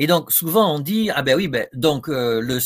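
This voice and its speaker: The recording is very clean and the background silent. Lively intonation carries speech at a moderate pace. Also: man. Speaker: professor and psychiatrist. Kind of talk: lecture. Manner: hesitant, many fillers.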